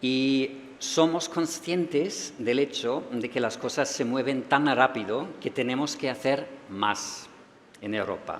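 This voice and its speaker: A man with a German accent, medium pitch, ordinary pitch variation and a very slow pace. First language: German (speaking Spanish). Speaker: EU official. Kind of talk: closing speech.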